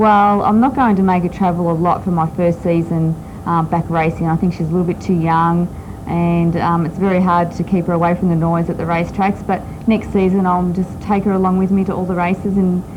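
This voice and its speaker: Over noticeable background noise, a woman with an Australian accent talks at a fairly quick pace and fairly low pitch. Her intonation is monotone and flat, her loudness very even. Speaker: top fuel drag racer. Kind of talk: TV interview. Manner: hesitant, many ums.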